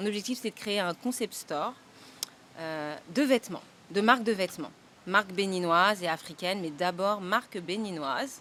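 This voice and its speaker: Speaking at a moderate pace, the woman has a medium pitch, a bright, sharp tone and ordinary pitch variation. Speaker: boutique owner. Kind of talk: casual interview. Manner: hesitant, many fillers.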